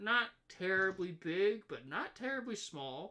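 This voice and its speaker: A man puts on a character voice, high-pitched with lively intonation. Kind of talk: casual, calm, professional.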